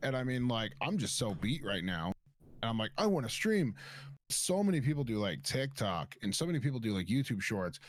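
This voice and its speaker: Speaking at a fairly quick pace, a man with a medium pitch lets his voice swing very widely. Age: 20s. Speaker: content creator. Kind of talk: casual chat.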